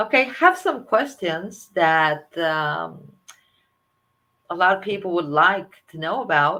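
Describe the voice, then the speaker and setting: A woman with a Spanish accent speaks in a bright, sharp tone with lively intonation. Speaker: energy healer and interviewer. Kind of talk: interview. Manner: halting.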